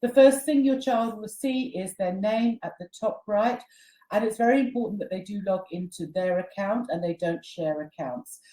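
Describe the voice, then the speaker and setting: Speaking at a moderate pace, a woman with a dark, mellow tone and medium pitch sounds somewhat breathy, her intonation lively. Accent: British. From Britain. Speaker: company CEO presenting online training. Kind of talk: webinar tutorial. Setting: online webinar.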